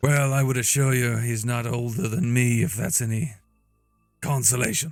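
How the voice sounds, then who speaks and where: Faint music plays behind a man doing a put-on character voice at a medium pitch, with fairly even intonation and a moderate pace. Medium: actual play. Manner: cold, measured, formal.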